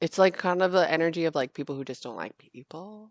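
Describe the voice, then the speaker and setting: A woman's very deep, low pitch, with an animated tone and ordinary pitch variation. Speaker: tarot reader. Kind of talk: tarot reading monologue. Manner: fast, stumbling; casual, animated.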